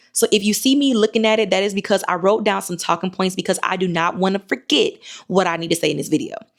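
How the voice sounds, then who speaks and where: A woman talks at a very fast pace with lively intonation. Her pitch sits in the medium range. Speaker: YouTube marketing coach for entrepreneurs and authors. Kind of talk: unscripted talking-head video tutorial. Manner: fast, sometimes fumbling over words; rambling, conversational.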